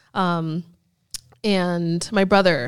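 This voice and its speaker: In a very clean recording with a silent background, a woman with an American accent speaks in an unremarkable speaking voice, fairly low for a woman, with fairly even intonation. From US Northeast (Erie, Pennsylvania). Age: 20s. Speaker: bikini fitness competitor and coach. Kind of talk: casual interview chat.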